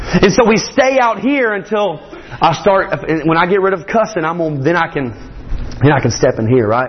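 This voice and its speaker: A man's high-pitched voice comes through noticeable background noise. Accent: Southern US. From Morgan County, Georgia. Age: 20s. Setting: church.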